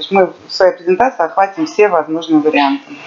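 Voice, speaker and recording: Amid noticeable background noise, a woman's voice moves through very wide pitch swings. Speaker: interpreter. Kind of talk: consecutive interpretation. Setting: live event with audience. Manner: loud.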